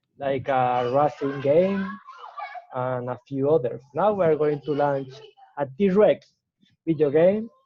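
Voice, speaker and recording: Speaking very slowly with long, frequent pauses, a man with a fairly high voice talks in a Spanish accent. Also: ordinary pitch variation. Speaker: startup founder. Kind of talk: interview. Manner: halting.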